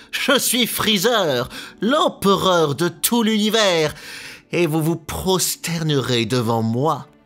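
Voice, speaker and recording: Faint music plays behind a put-on character voice, nasal and pompous in tone, at a middle pitch and a very slow pace. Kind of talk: refined, aristocratic. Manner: pompous, haughty.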